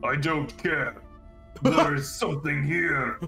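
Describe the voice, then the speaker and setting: Music plays behind a man doing a put-on character voice at a fairly high pitch and a fairly slow pace. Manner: commanding, shouting orders; impatient, aggressive.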